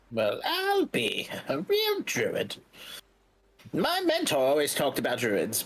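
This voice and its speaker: The voice is a put-on character. It moves at a fairly slow pace. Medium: actual play. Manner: fatherly, chiding.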